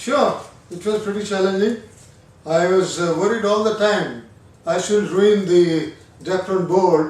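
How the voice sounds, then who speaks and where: Recorded with audible room echo, a man with a high pitch speaks at a fairly slow pace. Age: 60s. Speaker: retired hobbyist, first-time builder. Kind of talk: casual review chat.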